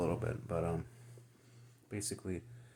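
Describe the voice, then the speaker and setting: There's a somewhat breathy quality to this man's voice. His delivery keeps a moderate pace. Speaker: vlogger. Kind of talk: personal story. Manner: halting.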